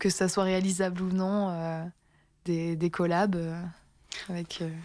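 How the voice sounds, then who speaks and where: On a very clean recording with a silent background, a woman speaks very slowly in a fairly low pitch, with a dark, mellow tone and monotone, flat intonation. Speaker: radio interviewer. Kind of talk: radio interview host.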